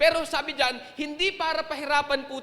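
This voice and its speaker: Over noticeable background noise, a man uses a raised, projected voice at an extremely high pitch, moving at a moderate pace with ordinary pitch variation. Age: young. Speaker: pastor. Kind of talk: sermon. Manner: serious, emphatic.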